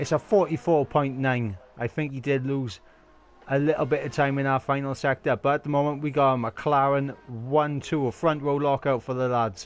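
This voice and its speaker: A fairly high-pitched man at a moderate pace, in a Welsh accent. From Wales. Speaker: sim racing league commentator. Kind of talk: live commentary. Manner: animated.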